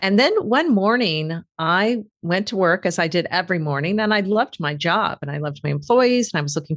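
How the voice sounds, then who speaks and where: The woman has a normal speaking voice, fairly low in pitch, moving at a fairly quick pace with lively intonation. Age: 60s. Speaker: author and executive coach. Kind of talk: interview. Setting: podcast interview.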